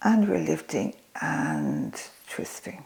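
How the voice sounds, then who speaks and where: A woman speaks in a calm tone. There is noticeable background noise behind her. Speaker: yoga and senior fitness instructor. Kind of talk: exercise tutorial. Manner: calm yoga teaching voice.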